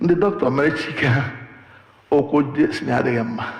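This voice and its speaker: A man with a Nigerian accent speaks at a fairly slow pace with lively intonation. There is audible room echo and noticeable background noise. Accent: Nigerian Igbo English. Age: 70s. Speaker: preacher. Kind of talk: sermon.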